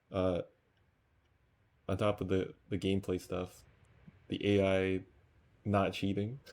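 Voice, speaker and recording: A quiet man speaks in a very deep, low voice with flat, monotone intonation. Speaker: gamer. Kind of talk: casual gaming commentary. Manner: quiet, low volume.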